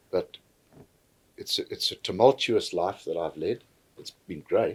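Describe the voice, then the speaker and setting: Loudness swings widely as the speech unfolds at a fairly slow pace. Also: man. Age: 60s. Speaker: podcast guest. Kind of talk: casual chat. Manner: halting.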